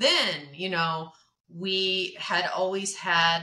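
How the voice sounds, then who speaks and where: The tone is bright and sharp, with an American accent. Pitch varies in an ordinary way. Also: woman. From southern Oregon, US. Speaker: event planner. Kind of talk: interview conversation.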